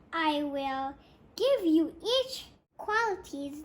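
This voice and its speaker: Putting on a squeaky character voice with an extremely high pitch, a woman speaks at a very slow pace. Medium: read story.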